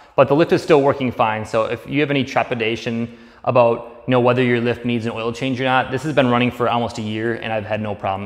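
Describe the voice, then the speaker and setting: A man at a very fast pace with fairly even intonation over a quiet background. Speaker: DIY garage vlogger. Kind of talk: tutorial. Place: garage. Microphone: camera far.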